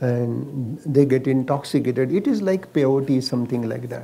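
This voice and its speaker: A man speaks in an Indian accent at a fairly slow pace. His voice is medium in pitch, with a dark, mellow tone. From India, Maharashtra. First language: Marathi. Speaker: Ayurvedic doctor; interviewee. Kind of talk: casual chat. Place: garden. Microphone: lapel.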